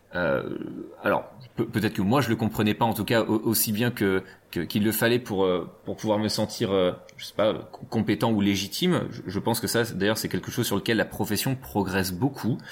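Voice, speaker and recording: This man has a fairly low pitch with ordinary pitch variation. He talks at a moderate pace. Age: 30s. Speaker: physiotherapist and union representative. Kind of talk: interview. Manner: halting, many repetitions.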